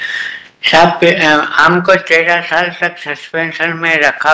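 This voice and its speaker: A man with a fairly high pitch speaks in a flat monotone, with noticeable background noise and audible room echo. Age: 80s+. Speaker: petitioner arguing own case in court. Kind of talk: court argument.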